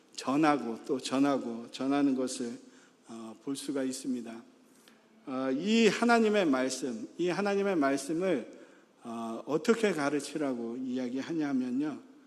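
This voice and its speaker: A man's lively intonation at a fairly slow pace, with audible room echo. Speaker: pastor. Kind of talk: sermon. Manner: many filler sounds, halting.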